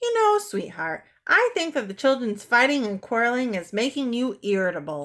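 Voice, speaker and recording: In a put-on character voice, a woman speaks at a moderate pace and a high pitch with very wide pitch swings, recorded very cleanly against a silent background. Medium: read story.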